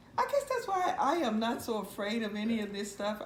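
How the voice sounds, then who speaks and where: This woman has an American accent and a fairly high pitch. Noticeable background noise runs behind her. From Mississippi, US South. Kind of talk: oral history interview answer. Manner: conversational, storytelling.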